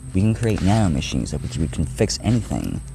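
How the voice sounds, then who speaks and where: A quiet man's voice with very wide pitch swings at a moderate pace, music in the background. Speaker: vlogger. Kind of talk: casual vlog monologue. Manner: quiet, hard to hear; halting, many restarts.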